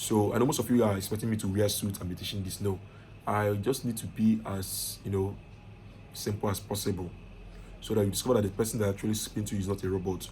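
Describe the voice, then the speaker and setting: Fast and flat, a man with a fairly low pitch speaks in a monotone at a very fast pace. His dark, mellow tone is somewhat breathy, with audible room echo. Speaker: IT consultant and online course teacher. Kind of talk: lecture. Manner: casual.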